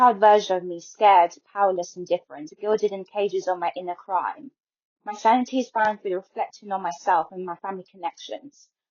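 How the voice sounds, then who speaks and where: A woman talks at a fairly quick pace in an ordinary speaking voice. Her medium pitch varies in an ordinary way, while her loudness swings widely. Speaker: spoken word poet. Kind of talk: poetry reading.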